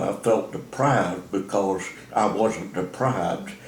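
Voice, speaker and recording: A man's very slow, medium-pitched speech with ordinary pitch variation, in an American accent, with audible room echo. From Texas, Bell County. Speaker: elderly interviewee sharing life story. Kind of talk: oral history interview. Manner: halting, many fillers.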